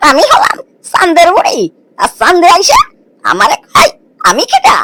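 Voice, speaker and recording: A cartoonish character voice at an extremely high pitch, swinging very widely up and down. The loudness stays very even, and the sound is dry and close with no echo. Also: moderate pace. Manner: scolding, threatening.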